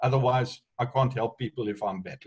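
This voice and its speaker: A somewhat breathy man's voice of medium pitch. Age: 60s. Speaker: entrepreneur. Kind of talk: online group discussion.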